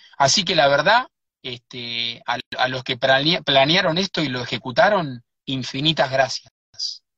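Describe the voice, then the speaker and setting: Speaking fairly slowly with an Argentine accent, a man has a fairly high pitch, ordinary pitch variation and a bright, sharp tone in a dry, close sound with no echo. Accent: Rioplatense Argentine Spanish. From Buenos Aires, Argentina. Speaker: writer and researcher. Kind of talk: live interview. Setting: in a car.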